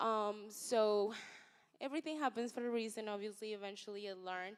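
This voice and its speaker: A woman's plain, everyday voice, fairly high-pitched, with ordinary pitch variation and a fairly quick pace, on a very clean recording with a silent background. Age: young. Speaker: social media influencer and entrepreneur. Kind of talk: panel talk.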